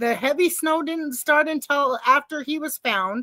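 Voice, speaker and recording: In a raised, projected voice with a bright, sharp tone, the speaker goes at a very slow pace with ordinary pitch variation, the sound dry and close with no echo. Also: woman. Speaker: livestream trial reaction commentator. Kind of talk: casual live commentary. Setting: livestream.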